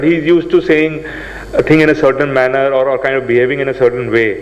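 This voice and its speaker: Noticeable background noise and audible room echo surround a voice moving at a fairly quick pace. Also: man. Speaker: seminar speaker. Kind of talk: lecture. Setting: seminar hall with audience. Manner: fast.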